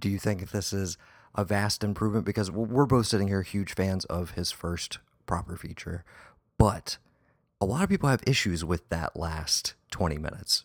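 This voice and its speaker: An unremarkable speaking voice with ordinary pitch variation and a moderate pace is heard in a very clean recording with a silent background and a dry, close sound with no echo. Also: man, fairly low pitch for a man. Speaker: podcast host. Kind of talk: casual chat. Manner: informal, filler words.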